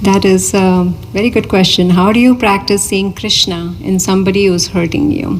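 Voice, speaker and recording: Over noticeable background noise, the voice moves at a moderate pace with ordinary pitch variation and very even loudness. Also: woman. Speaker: spiritual teacher. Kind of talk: Q&A after a spiritual discourse.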